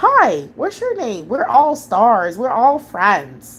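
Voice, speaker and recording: A woman uses a put-on character voice, high and sing-song. She goes at a very slow pace. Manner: chipper, sing-song friendly.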